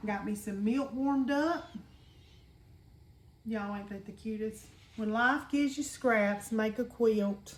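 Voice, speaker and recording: Fairly slow speech with long, frequent pauses and ordinary pitch variation, amid audible room echo and noticeable background noise. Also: woman, fairly high pitch for a woman. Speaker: home cooking video host. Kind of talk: cooking tutorial. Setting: home kitchen. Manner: loud; casual, chatty.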